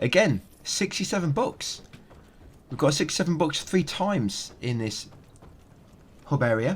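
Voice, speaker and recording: A man with a fairly high pitch and vocal fry speaks with very wide pitch swings and long, frequent pauses. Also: moderate pace. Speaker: gaming video guide creator. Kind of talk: game walkthrough commentary.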